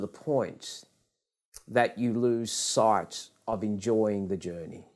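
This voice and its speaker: A man with an Australian accent, medium pitch and a very slow pace. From Australia, Western Sydney. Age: 60s. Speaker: business leader and author. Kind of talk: interview.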